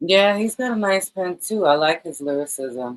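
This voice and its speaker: A woman with a New York accent talks at a fairly slow pace. Her intonation is lively. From New York, Brooklyn. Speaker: podcast host. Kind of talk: interview.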